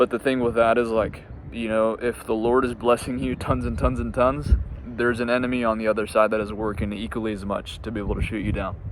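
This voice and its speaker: A man of medium pitch talks very fast with ordinary pitch variation over noticeable background noise. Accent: American. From US Midwest, Indiana. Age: 20s. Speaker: entrepreneur, business coach. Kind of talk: casual personal story to camera, unscripted. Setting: outdoors in a park, on a bench. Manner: halting, frequent fillers and repeats.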